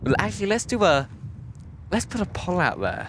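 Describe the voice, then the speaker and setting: A man with a British accent talks at a fairly quick pace with lively intonation. Noticeable background noise is present. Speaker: plane spotting livestream host. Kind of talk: casual live stream chat. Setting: outdoors at an airport. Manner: casual, hesitant with fillers.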